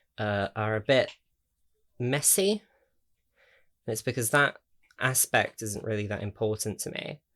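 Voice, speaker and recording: A man with an English accent, speaking at a fairly slow pace with long, frequent pauses. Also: medium pitch for a man, ordinary pitch variation. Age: 20s. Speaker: YouTuber. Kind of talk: casual chat. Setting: home, in own room. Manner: hesitant, many fillers.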